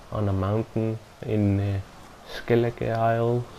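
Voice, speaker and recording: Speaking very slowly, a man uses a fairly low pitch and a monotone, flat intonation. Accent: non-native. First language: not English. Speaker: gaming video reviewer. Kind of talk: game review voiceover. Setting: home recording without soundproofing. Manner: halting, self-correcting.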